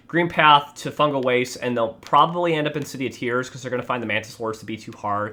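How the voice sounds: Someone reads in a natural manner.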